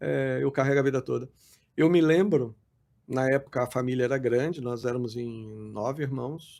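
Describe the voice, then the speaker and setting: With a dark, mellow tone, a man speaks at medium pitch and a moderate pace. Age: 60s. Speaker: pastor. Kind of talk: podcast interview. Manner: halting.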